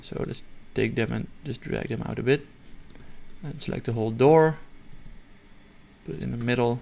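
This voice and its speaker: Speaking with a non-native accent, a man uses a dark, mellow tone at a medium pitch with vocal fry, ordinary pitch variation, and long, frequent pauses. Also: moderate pace. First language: not English. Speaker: software tutorial creator. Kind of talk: tutorial. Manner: halting, many fillers and restarts; casual.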